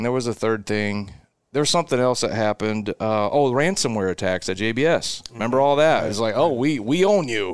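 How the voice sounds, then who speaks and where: Using a Midwestern American accent, a man talks at a fairly quick pace and medium pitch, with ordinary pitch variation and a quiet background. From Nebraska, Seward area. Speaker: cattle business owner. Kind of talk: casual interview.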